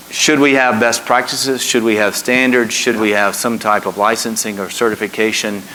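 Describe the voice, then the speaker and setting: A man talks at a moderate pace with hardly any pauses. His intonation stays fairly even over noticeable background noise. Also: medium pitch for a man. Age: 60s. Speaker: trade association executive, moderator. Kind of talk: panel interview.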